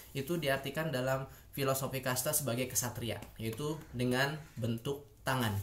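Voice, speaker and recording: Here a man at a medium pitch keeps a moderate pace, fairly even intonation, very even loudness and hardly any pauses. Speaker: YouTuber, international relations student. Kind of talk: educational video monologue. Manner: hesitant, many fillers.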